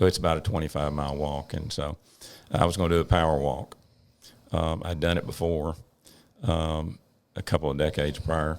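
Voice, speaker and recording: Pitched very deep and low, a man talks at a fairly quick pace in a monotone, flat way, with long, frequent pauses. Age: 70s. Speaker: emergency physician and medical director. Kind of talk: casual interview chat.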